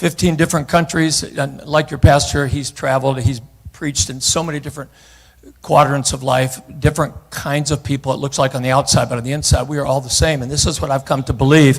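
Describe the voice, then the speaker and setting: With a somewhat breathy, fairly high voice, a man talks at a fairly quick pace. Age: 70s. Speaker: guest preacher. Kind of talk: sermon. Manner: animated.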